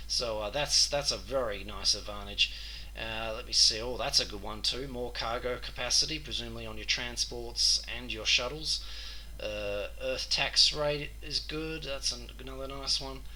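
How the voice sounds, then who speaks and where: Someone with an Australian accent speaks at a moderate pace, with audible room echo and noticeable background noise. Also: man, big swings in loudness. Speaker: gaming youtuber. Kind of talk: gameplay commentary.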